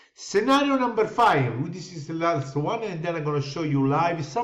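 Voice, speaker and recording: There is audible room echo as a man with a high voice talks at a moderate pace with lively intonation. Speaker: crypto investment promoter. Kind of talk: sales pitch.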